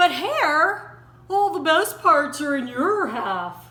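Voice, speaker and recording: A put-on character voice sits at a high pitch. It moves at a very slow pace. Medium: read story. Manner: slow, grumbling.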